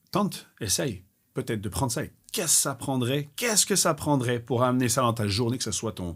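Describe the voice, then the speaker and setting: A man's fairly quick, lively-toned speech on a very clean recording with a silent background. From Belgium. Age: 40s. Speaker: gym owner, entrepreneur. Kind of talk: podcast interview. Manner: animated.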